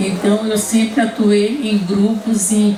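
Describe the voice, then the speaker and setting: A woman speaks very slowly at a medium pitch. There is noticeable background noise, and the room echo is audible. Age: 70s. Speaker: writer and feminist activist. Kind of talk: panel talk. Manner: halting, many restarts.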